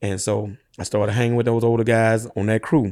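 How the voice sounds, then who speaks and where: A man with a Louisiana accent, a dark, mellow tone and medium pitch, fairly quick, in a very clean recording with a silent background. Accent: Southern US, Louisiana. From rural Louisiana, East Feliciana Parish. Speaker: dump truck business owner. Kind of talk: interview conversation.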